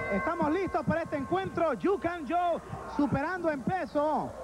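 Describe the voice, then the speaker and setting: A man's extremely high-pitched voice at a moderate pace, with noticeable background noise. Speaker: wrestling commentator. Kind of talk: live wrestling commentary, 1985 announcer style. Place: hall.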